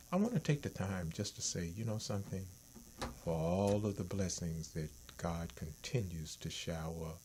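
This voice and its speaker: At a fairly slow pace, the speech unfolds. Its pitch varies in an ordinary way, and the voice is somewhat breathy. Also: man. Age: 60s. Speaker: talk show host. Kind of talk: casual chat.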